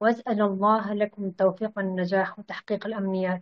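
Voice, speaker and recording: The speech comes in a Kurdish accent at a fairly slow pace. The intonation is monotone and flat. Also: woman. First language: Kurdish (speaking Arabic). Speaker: language student. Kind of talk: interview. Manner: halting.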